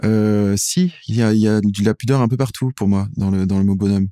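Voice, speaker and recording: A man's dark, mellow, fairly low voice comes through in a dry, close sound with no echo on a very clean recording with a silent background. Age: 40s. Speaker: singer-songwriter. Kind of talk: interview. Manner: halting.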